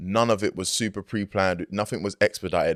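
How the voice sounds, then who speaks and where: A man speaks at a fairly quick pace with monotone, flat intonation. The recording is very clean with a silent background and a dry, close sound with no echo. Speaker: hip-hop artist. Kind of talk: interview. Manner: casual, filler-heavy.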